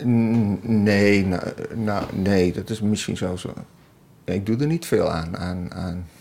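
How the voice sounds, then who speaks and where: Very slow pace from a man, fairly low-pitched, ordinary pitch variation. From Twente, eastern Netherlands. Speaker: essayist and columnist. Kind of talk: casual chat. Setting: outdoors on a bench.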